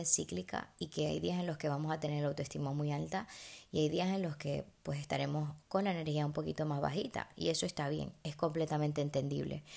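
An animated tone and fairly quick pace come through on a very clean recording with a silent background. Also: woman. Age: 20s. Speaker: podcast host. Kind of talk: casual monologue.

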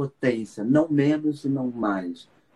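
Here is a man with a plain, everyday voice, pitched fairly high, speaking at a fairly slow pace. The sound is dry and close, with no echo. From Brazil, Rio de Janeiro. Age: 50s. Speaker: psychologist and biodanza teacher. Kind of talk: casual interview on live stream. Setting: Instagram live video call.

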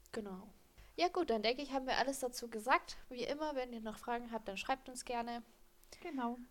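Fairly quick speech from a woman, high in pitch. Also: ordinary pitch variation. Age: 20s. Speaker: horse trainer and podcast co-host. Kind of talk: casual expert chat. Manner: animated, laughs often.

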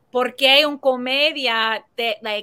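A woman speaks at a very slow pace in a bright, sharp tone. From US Northeast (New Jersey). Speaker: comedian and filmmaker. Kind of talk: interview.

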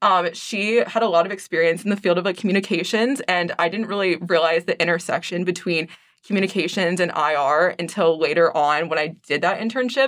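A woman's ordinary speaking voice, fairly low-pitched with ordinary pitch variation, at a fairly quick pace with hardly any pauses, on a very clean recording with a silent background. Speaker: university student, journal co-editor. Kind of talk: interview. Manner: many filler words (um, like).

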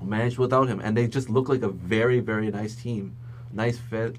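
A man speaks in a normal speaking voice at a moderate pace. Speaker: podcast co-host, journalism student. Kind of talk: casual chat.

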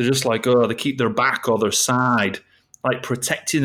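A man speaks with a Yorkshire accent. His pace is moderate. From East Yorkshire, England. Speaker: sales coach. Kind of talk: casual chat.

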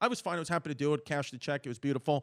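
The recording is very clean with a silent background and a dry, close sound that has no echo. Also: man. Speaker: stand-up comedian. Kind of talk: casual chat.

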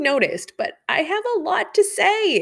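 The woman's tone is animated. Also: very clean recording, silent background. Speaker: podcast host. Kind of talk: solo podcast monologue.

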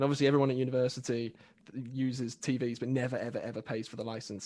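A man with an English accent speaks very fast at a medium pitch, his intonation fairly even. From England. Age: young. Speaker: self-development community member. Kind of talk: casual chat. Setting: live stream.

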